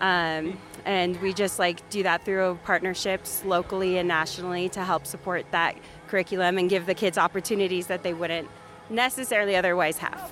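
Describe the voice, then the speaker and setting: Noticeable background noise sits behind a woman speaking at a fairly quick pace. Her intonation stays monotone and flat. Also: medium pitch for a woman. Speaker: youth club staff member. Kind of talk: casual interview. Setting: outdoors at event.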